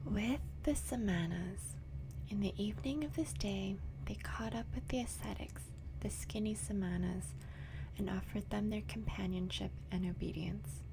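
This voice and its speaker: A soft-spoken voice with a calm, gentle tone at a moderate pace, over noticeable background noise. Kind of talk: audiobook-style reading of a novel aloud, bedtime story. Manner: soft-spoken, calm, gentle; not whispered, soft but audible.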